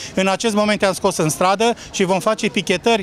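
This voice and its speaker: This man talks at a moderate pace with a high pitch and fairly even intonation. The sound is dry with no echo, and there is light background noise. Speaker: union leader. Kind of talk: angry protest speech. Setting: outdoors, street protest. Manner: indignant, forceful. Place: street. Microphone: handheld.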